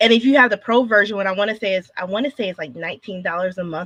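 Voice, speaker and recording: A woman talks at a very fast pace with ordinary pitch variation. The sound is dry and close, with no echo. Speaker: podcast host. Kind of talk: podcast interview.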